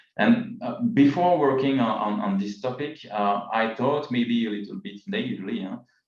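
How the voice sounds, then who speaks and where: With audible room echo, a man speaks at a moderate pace. His medium-pitched voice has lively intonation. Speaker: demography professor. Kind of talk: lecture. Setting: video call. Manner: hesitant, many fillers.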